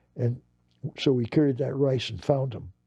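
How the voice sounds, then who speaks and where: Somewhat breathy and dark, mellow in tone, a man talks at a moderate pace. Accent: American. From US West (Los Angeles). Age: 80s+. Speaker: war veteran. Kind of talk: interview. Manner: halting, with repetitions.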